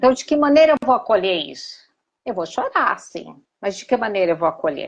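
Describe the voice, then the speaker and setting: A woman speaks at a moderate pace with a high pitch and very wide pitch swings. The background is quiet. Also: big swings in loudness. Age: 60s. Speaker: therapist. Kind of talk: live stream conversation. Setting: Instagram live. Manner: halting.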